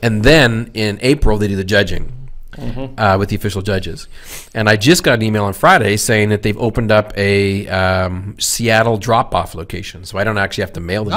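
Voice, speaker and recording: A fairly low-pitched man talks at a fairly quick pace with ordinary pitch variation against a quiet background. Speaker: podcast co-host. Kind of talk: casual podcast chat. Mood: relaxed, joking. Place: studio. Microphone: studio mic.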